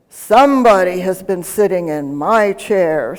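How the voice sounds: A woman puts on a gruff character voice at a medium pitch. She delivers it at a fairly slow pace.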